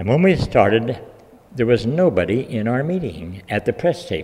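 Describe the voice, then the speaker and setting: At a fairly quick pace, a man with an American accent talks in a somewhat breathy voice, his medium pitch moving in very wide swings. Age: 80s+. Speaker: health freedom activist. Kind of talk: speech to an audience. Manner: hesitant, with many fillers.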